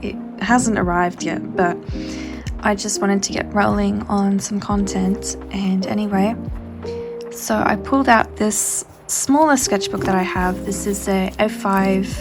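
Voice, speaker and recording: Music plays in the background as a soft-spoken woman talks at a fairly slow pace. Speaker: artist. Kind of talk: casual sketchbook flip-through commentary.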